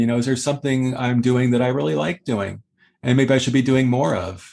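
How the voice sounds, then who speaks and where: A man with a plain, everyday voice speaks at a fairly quick pace, at medium pitch with ordinary pitch variation. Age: 60s. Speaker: author and ghostwriter. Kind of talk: interview. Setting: video call.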